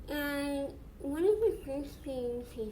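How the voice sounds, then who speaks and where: A woman talks in a high pitch. Noticeable background noise can be heard. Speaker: mindset coach. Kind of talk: casual talk to camera.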